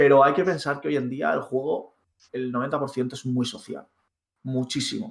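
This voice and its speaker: Pitched fairly high, this man has an ordinary speaking voice. His pitch varies in an ordinary way. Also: fairly slow pace. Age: 30s. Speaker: gaming podcast co-host. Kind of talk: casual chat.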